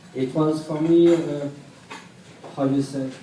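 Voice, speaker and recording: A man with a French accent speaks at a very slow pace with fairly even intonation. Audible room echo and noticeable background noise fill the recording. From France. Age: 30s. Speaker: hip-hop dancer. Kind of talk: panel discussion. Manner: halting.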